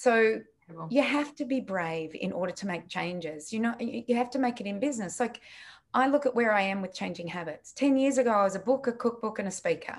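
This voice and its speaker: A woman with an Australian accent talks at a fairly quick pace with lively intonation. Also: fairly high pitch for a woman. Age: 60s. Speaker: nutritionist and business founder. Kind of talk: interview.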